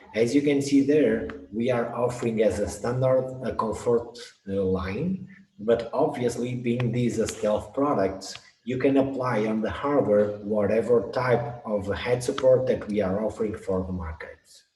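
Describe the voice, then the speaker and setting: Speech with ordinary pitch variation goes at a fairly slow pace while noticeable background noise carries on. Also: man, medium pitch for a man. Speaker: product specialist presenter. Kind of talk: webinar presentation.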